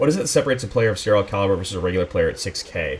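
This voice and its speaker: A man's fairly low-pitched voice comes through noticeable noise in the background. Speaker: esports caster. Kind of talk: live esports play-by-play commentary. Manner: excited.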